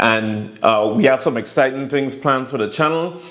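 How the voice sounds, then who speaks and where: Against noticeable background noise, a man with a Virgin Islands accent speaks at a moderate pace in a medium pitch with ordinary pitch variation. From US Virgin Islands, St. Thomas. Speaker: vlogger. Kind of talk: casual vlog monologue. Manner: relaxed, filler-heavy.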